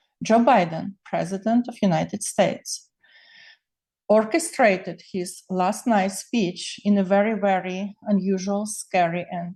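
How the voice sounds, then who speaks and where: A woman's medium-pitched, somewhat breathy voice with a dark, mellow tone, fairly even intonation and a fairly slow pace. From Ukraine (Soviet era). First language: Ukrainian or Russian. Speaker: political commentator. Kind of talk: personal political monologue video stream. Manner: emotional.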